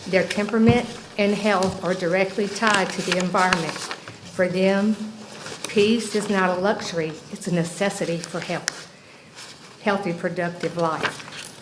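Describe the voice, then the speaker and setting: In a room with audible echo and noticeable background noise, a woman with an American accent speaks at a fairly slow pace, with medium pitch and fairly even intonation. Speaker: local resident, goat farmer. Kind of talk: public comment at county board meeting.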